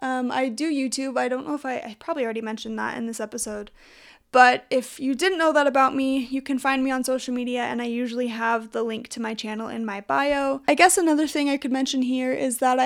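With a Western US accent, a woman speaks at a fairly quick pace with hardly any pauses, a high pitch and fairly even intonation, in a very clean recording with a silent background. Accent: American, Western US. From Utah. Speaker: podcast host and YouTuber. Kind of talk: solo podcast intro, casual monologue.

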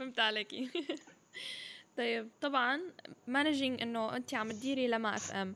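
A woman's high-pitched voice at a fairly slow pace, with long, frequent pauses. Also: ordinary pitch variation. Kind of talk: interview; scripted intro and outro.

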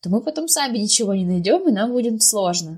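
A woman's somewhat breathy voice moves along at a fairly quick pace. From Sverdlovsk region, Russia (Pervouralsk). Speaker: schoolteacher of English. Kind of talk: podcast interview.

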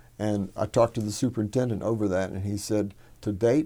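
A man's fairly low, dark, mellow voice in a Texan accent, with fairly even intonation at a fairly quick pace. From Texas, Hallettsville. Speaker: soil business owner. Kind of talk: interview. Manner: halting, many fillers.

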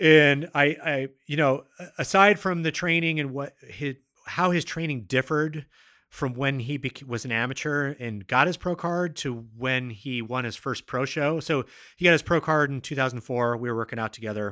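A man speaks at a moderate pace with ordinary pitch variation and a bright, sharp tone. The recording is very clean and the background silent. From US Pacific Northwest, Seattle. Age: 40s. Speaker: strength coach and podcast host. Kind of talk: interview. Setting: studio.

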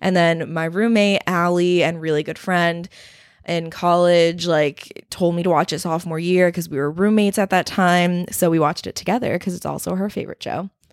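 Fairly low in pitch, a woman with an American accent speaks at a moderate pace in a monotone, flat intonation. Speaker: podcast host. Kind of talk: casual chat.

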